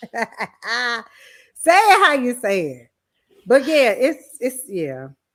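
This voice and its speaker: A very slow Southern US accent, with very wide pitch swings and big swings in loudness. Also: woman, high pitch for a woman, very clean recording, silent background. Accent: country accent, Southern US. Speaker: podcast co-host. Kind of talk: casual chat.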